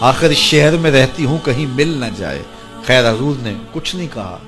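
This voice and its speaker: The intonation is lively, and music plays in the background. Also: man. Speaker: Islamic scholar preacher. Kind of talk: Islamic sermon telling a story to an audience.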